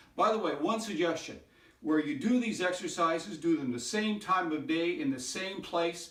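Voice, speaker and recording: A man with a high pitch speaks at a moderate pace, with audible room echo and noticeable background noise. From Canada. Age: 60s. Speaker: hip replacement patient sharing exercises. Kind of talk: exercise tutorial. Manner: casual, conversational.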